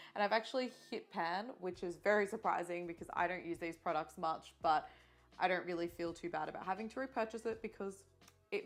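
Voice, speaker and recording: With music in the background, a woman with an Australian accent talks at a fairly quick pace with ordinary pitch variation. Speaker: beauty YouTuber. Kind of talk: makeup tutorial. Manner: loud.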